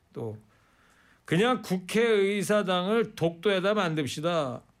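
A man's lively intonation is heard on a very clean recording against a silent background. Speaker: radio host. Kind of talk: radio talk show. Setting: studio. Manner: animated.

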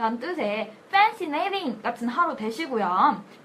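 A woman's high voice swings very widely in pitch against noticeable background noise. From Korea, Cheongju. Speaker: English learning podcast host. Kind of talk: scripted language lesson skit.

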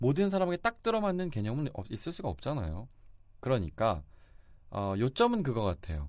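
A man's medium-pitched voice at a fairly quick pace with very wide pitch swings, on a very clean recording with a silent background. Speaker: news reporter and podcast co-host. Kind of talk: casual banter on dating topics. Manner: laughs often, teasing.

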